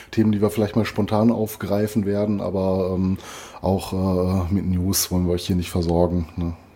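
With a slight Ruhr accent, a man speaks at a moderate pace in a very deep, low pitch and a dark, mellow tone, his intonation monotone and flat. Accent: mild Ruhr dialect. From Ruhr area, Germany. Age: 40s. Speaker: metal podcast co-host. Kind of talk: casual chat. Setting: remote recording over headphones.

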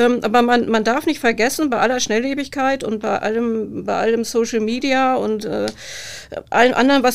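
A woman speaks at a moderate pace in an unremarkable speaking voice. Her pitch is fairly high and her intonation fairly even. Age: 50s. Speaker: police press officer. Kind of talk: casual chat.

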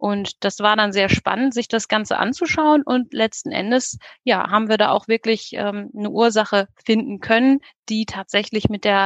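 A woman speaks at a moderate pace with a fairly high pitch and ordinary pitch variation. The recording is dry and close, with no echo. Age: 30s. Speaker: dentist. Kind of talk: interview. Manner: hesitant, many fillers.

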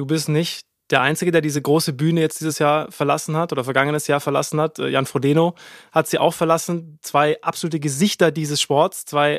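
A man's fairly high-pitched voice at a moderate pace, dry and close with no echo, on a very clean recording with a silent background. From Baden-Württemberg, Bretten. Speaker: podcast host. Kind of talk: casual chat. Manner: animated.

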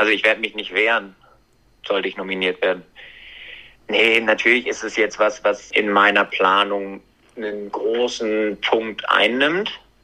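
A man with a fairly low voice speaks at a fairly slow pace, leaving long, frequent pauses. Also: fairly even intonation. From Germany. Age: 20s. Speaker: event rider. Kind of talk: interview.

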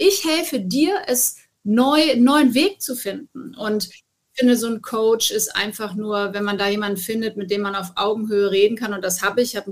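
Moderately paced, fairly high-pitched, with ordinary pitch variation: a woman's a plain, everyday voice. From Hesse, Wiesbaden. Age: 40s. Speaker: TV presenter and motorsport journalist. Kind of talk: interview.

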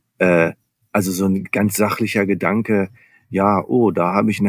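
With fairly even intonation, a man talks in an ordinary speaking voice at a fairly low pitch. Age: 50s. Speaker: business coach. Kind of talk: interview.

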